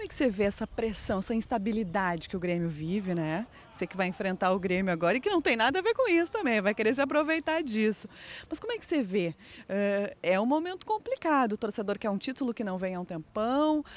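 A woman at a very fast pace, with a dry sound and no echo. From Rio Grande do Sul, Brazil. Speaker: TV sports reporter. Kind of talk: TV sports interview. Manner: animated. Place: stadium. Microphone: handheld.

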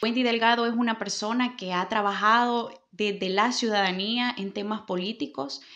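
Against a quiet background, a woman speaks at a fairly high pitch and a fairly slow pace with ordinary pitch variation. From El Salvador, Santa Ana; El Salvador. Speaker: political candidate and lawyer; candidate, lawyer. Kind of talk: interview. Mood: earnest, committed. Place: office. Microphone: handheld.

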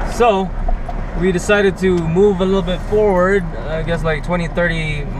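A man talks at a moderate pace. The sound is dry with no echo, though background noise is noticeable. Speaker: soldier vlogger on a road trip. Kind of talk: casual vlog chat. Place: car. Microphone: camera far.

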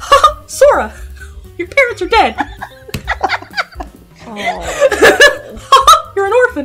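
A squeaky, put-on character voice speaks at an extremely high pitch. It goes at a very slow pace while clear music plays in the background. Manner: goofy, cartoonish.

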